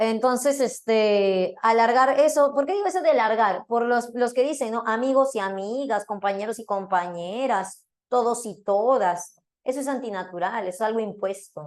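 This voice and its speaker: A woman with an unremarkable speaking voice talks at a moderate pace, her pitch fairly high with ordinary variation. She leaves hardly any pauses. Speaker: philosophy teacher. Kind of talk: lecture.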